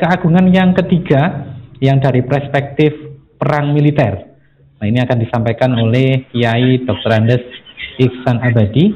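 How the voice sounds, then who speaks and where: At a moderate pace, a man speaks at a medium pitch with ordinary pitch variation and very even loudness. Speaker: event MC. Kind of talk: event hosting. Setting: video call.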